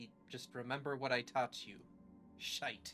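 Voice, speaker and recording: Over clear background noise, a put-on character voice delivers its lines at a low-to-middle pitch in a flat monotone. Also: moderate pace. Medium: actual play. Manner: salty, blunt.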